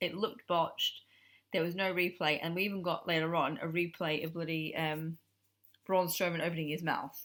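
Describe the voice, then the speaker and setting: Over a very clean recording with a silent background, a woman talks at a fairly quick pace in a fairly low, monotone, flat voice. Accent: English. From Australia. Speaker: wrestling podcast co-host. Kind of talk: casual chat.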